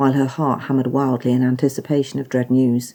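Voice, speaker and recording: A woman speaks with a British accent and a dark, mellow tone. The recording is very clean, with a silent background. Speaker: author. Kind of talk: audiobook story reading.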